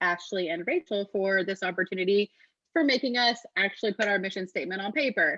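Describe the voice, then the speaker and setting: Her tone is bright and sharp, at a medium pitch and a fairly quick pace. This woman's voice has a dry, close sound with no echo. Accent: Texan. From Texas. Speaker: true crime podcaster. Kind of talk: webinar presentation.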